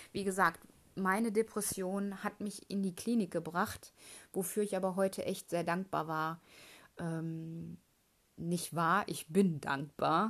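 At a very slow pace, a woman speaks in a medium pitch with fairly even intonation and long, frequent pauses. The recording is very clean, with a silent background. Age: 30s. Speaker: podcast host, aspiring mindset coach. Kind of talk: personal monologue, testimony. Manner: hesitant, many filler sounds.

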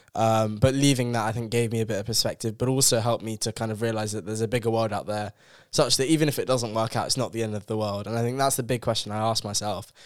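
In a London accent, a man talks at a very fast pace with hardly any pauses, at medium pitch and with fairly even intonation. The recording is very clean, with a silent background. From South London. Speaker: university student. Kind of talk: casual chat.

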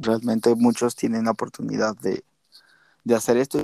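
The sound is dry and close, with no echo. A man speaks at a moderate pace. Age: 20s. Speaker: podcast co-host. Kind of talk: casual chat. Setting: remote recording.

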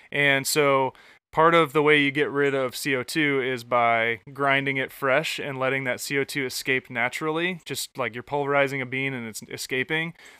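With an American accent, a man speaks in a fairly high, bright, sharp voice with monotone, flat intonation, recorded dry and close with no echo on a very clean recording with a silent background. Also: moderate pace. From Michigan. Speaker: podcast host. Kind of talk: casual chat. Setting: outdoors on a back porch.

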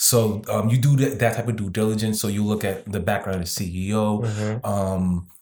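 In a normal speaking voice, a man talks at a fairly slow pace with hardly any pauses, a fairly low pitch and fairly even intonation. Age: 30s. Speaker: crypto investor. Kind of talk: casual chat.

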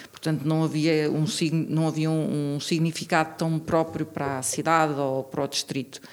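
A woman's very deep, low voice holds a monotone, flat intonation amid noticeable background noise. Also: moderate pace. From central Portugal, Tomar. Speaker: local election candidate, geologist. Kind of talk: interview.

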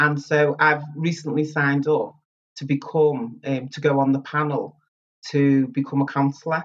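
Monotone and flat, a woman with a Liverpool accent speaks at a moderate pace in a very deep, low pitch. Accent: Liverpool (Scouse). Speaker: community centre chief executive. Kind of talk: interview.

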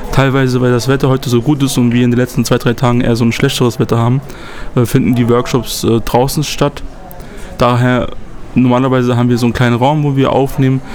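Very fast and monotone, with flat intonation and very even loudness, a man speaks at a medium pitch over noticeable background noise. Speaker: youth activist podcast host. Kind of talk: casual chat. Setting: on location on a trip in Poland.

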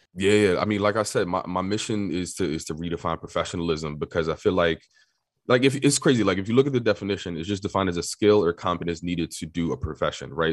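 Against a quiet background, a man speaks at a very fast pace. His pitch is very deep and low. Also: ordinary pitch variation. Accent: New York. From New York City. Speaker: tech marketer and media company owner. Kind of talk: casual interview.

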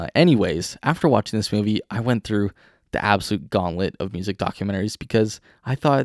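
A man with a Canadian accent and a normal speaking voice, fairly low in pitch, on a very clean recording with a silent background. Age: 20s. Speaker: podcast host. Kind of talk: casual monologue.

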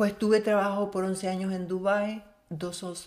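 A woman is speaking. Her pace is fairly slow. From Venezuela, El Tigre, Syrian family. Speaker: color forecaster. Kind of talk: interview.

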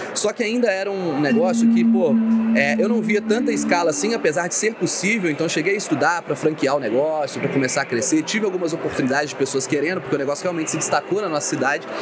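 Over noticeable background noise, a man with a high pitch talks at a very fast pace with lively intonation, very even loudness, and hardly any pauses. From Minas Gerais, Brazil (Ubá). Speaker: entrepreneur and investment specialist. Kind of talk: casual interview. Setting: live event.

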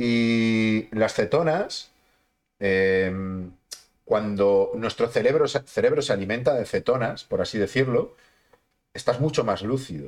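A man talks at a very slow pace with long, frequent pauses. His pitch is medium, with ordinary variation. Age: 30s. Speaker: sports and health podcast host. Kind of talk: casual interview chat.

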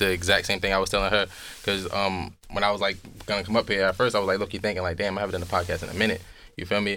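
Speaking at a very fast pace, a man with a fairly low pitch keeps a monotone, flat intonation in a bright, sharp tone. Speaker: podcaster guest. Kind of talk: casual chat. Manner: talkative.

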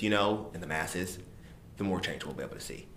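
This man talks at a very fast pace in a fairly low voice with an American accent. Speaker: podcast co-host. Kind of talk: casual chat. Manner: animated.

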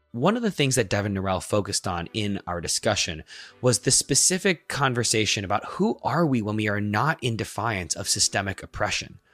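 An unremarkable speaking voice with lively intonation, in a very clean recording with a silent background and a dry, close sound with no echo. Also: man, fairly low pitch for a man, fairly quick pace. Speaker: podcast host and educator. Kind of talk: interview conversation.

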